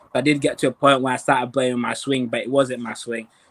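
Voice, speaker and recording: In a West Yorkshire accent, a man talks at a fairly quick pace with a medium pitch and monotone, flat intonation. The sound is dry and close, with no echo. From Africa, raised in West Yorkshire from childhood. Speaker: professional golfer. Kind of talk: interview. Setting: video call. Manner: halting.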